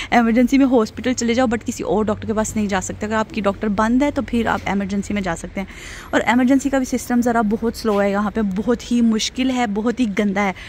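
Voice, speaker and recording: A woman is heard over light background noise in a dry sound with no echo. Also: fairly quick pace. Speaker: vlogger. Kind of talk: casual vlog chat. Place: street. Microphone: phone near.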